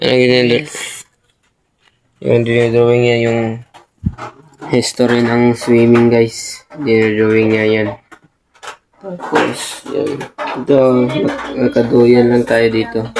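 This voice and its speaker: Speech comes at a very slow pace. Pauses are long and frequent. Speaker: vlogger. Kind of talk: casual vlog narration. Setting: indoors at friend's house, rainy night. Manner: loud.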